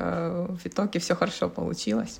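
A woman's somewhat breathy voice. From Ukraine, Kyiv. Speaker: startup consultant and social entrepreneur. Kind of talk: casual interview. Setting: video call.

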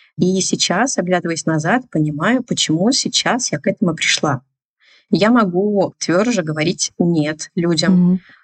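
Speaking at a fairly slow pace, a woman has an ordinary speaking voice with medium pitch and ordinary pitch variation. Her loudness is very even, and the sound is dry and close with no echo. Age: 30s. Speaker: business founder. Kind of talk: casual chat.

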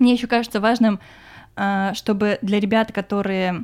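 The recording is very clean, with a silent background. A woman speaks at a medium pitch and moderate pace, with fairly even intonation. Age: 20s. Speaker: podcast host, film industry worker. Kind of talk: casual chat.

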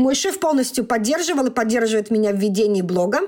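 The woman's voice sits at a high pitch. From Russia. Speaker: doctor. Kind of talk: interview.

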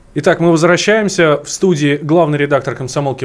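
With noticeable background noise behind him, a man speaks very fast, his pitch shifting in an ordinary way. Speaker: radio host. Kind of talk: radio interview. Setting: studio.

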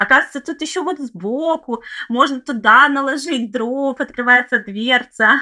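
In a raised, projected voice, a woman speaks fairly slowly at a high pitch with a bright, sharp tone and ordinary pitch variation. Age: 30s. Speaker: former city dweller living in a village. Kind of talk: casual interview chat.

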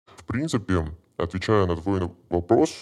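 A man's very deep, low voice with fairly even intonation, in a very clean recording over a silent background. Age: 20s. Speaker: brokerage sales employee. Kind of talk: podcast interview.

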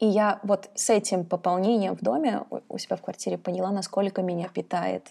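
A woman speaks at a medium pitch with a dark, mellow tone, ordinary pitch variation and some vocal fry. The recording is very clean, with a silent background. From Kazakhstan. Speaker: head of an education department. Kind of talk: interview.

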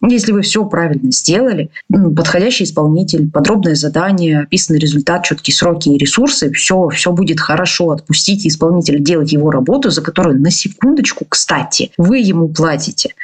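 Over noticeable background noise, a woman talks at a fairly quick pace with hardly any pauses, her fairly low pitch carried at a very even loudness. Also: lively intonation. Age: 30s. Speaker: podcast host, business owner and consultant. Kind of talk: monologue podcast with storytelling and advice. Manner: casual and animated.

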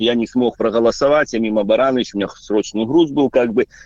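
A man talks at a moderate pace. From Belarus. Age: 40s. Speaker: truck driver, radio caller. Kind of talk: call-in to live radio. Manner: hesitant, filler-heavy.

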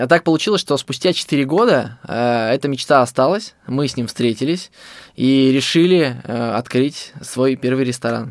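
A man with a normal speaking voice talks at a fairly slow pace. His pitch is medium, showing ordinary pitch variation. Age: 20s. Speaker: fast food business owner. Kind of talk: interview storytelling.

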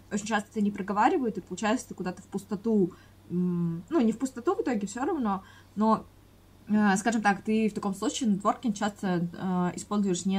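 Speech moves fairly quickly. There is some breathiness in the voice. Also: woman, medium pitch for a woman, ordinary pitch variation. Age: 20s. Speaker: podcast co-host, freelancer. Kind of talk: casual chat. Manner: hesitant, many filler sounds.

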